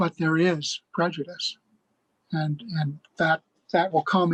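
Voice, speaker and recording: A man speaks at a moderate pace in a fairly high voice, his intonation flat and monotone, with a dry, close sound and no echo. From US Midwest, rural Minnesota. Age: 70s. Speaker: Buddhist speaker. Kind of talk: talk to a discussion circle.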